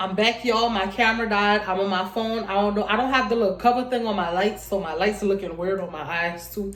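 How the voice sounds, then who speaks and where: Over noticeable background noise and audible room echo, a woman with a medium pitch talks at a fairly quick pace with fairly even intonation. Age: 20s. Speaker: vlogger. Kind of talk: casual storytime vlog. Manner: fast.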